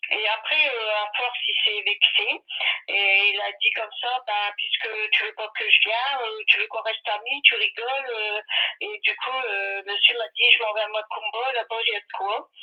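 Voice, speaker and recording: At a fairly slow pace, a woman speaks with big swings in loudness over noticeable background noise. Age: 60s. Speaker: caller. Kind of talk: phone-in consultation. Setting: phone call. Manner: hesitant, many fillers.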